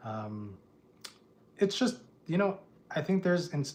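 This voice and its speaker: With an American accent, a man talks in a somewhat breathy voice. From US Midwest, Chicago, Illinois. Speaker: house painter and livestreamer. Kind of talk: casual livestream chat. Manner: halting, many fillers and restarts.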